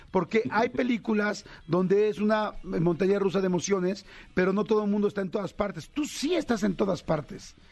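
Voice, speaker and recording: A man speaks at a high pitch with ordinary variation. His pace is fairly quick. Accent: Mexican. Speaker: radio host. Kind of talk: interview. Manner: animated.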